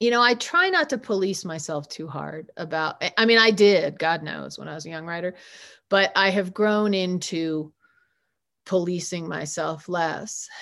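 Against a quiet background, a woman with a plain, everyday voice speaks at a moderate pace and a fairly low pitch. Her pitch varies in an ordinary way, while her loudness swings widely. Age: 50s. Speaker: author. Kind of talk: reading aloud; casual chat.

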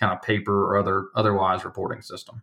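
A man with an American accent talks in a flat monotone on a very clean recording with a silent background. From Alabama, US South. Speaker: company executive. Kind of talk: interview conversation.

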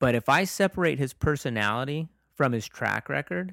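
A man with a normal speaking voice talks at a medium pitch and moderate pace, with lively intonation. The sound is dry and close with no echo, in a very clean recording with a silent background. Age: 40s. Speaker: podcast co-host. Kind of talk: casual chat.

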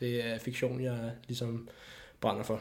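Audible room echo surrounds a man who speaks at a fairly slow pace. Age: 20s. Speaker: filmmaker. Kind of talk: casual chat. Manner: halting.

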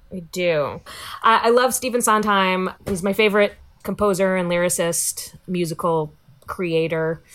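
At a fairly slow pace, a woman talks in an ordinary speaking voice. Her pitch is medium, with ordinary pitch variation. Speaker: comedian and writer. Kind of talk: casual chat. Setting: video call from home.

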